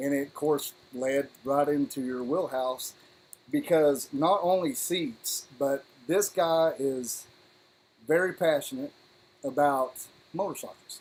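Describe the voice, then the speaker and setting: A man's fairly high voice with ordinary pitch variation, a very slow pace and long, frequent pauses. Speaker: motovlogger, live stream host. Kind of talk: casual live stream chat. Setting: live stream with Zoom guest. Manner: slurred speech; animated.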